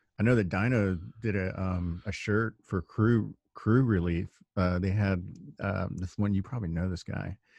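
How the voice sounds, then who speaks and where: Someone with a normal speaking voice talks at a moderate pace with fairly even intonation, the sound dry and close with no echo over a quiet background. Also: man, fairly low pitch for a man. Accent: American. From Texas. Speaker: podcast host. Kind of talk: casual chat. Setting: remote call.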